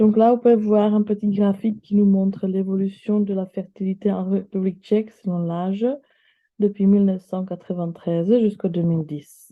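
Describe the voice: A woman talks at a moderate pace and a medium pitch. Her pitch moves very little.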